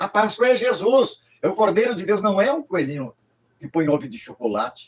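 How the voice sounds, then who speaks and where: A man talks at a moderate pace in a high pitch with very wide pitch swings and big swings in loudness. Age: 80s+. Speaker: pastor. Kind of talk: sermon. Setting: livestream.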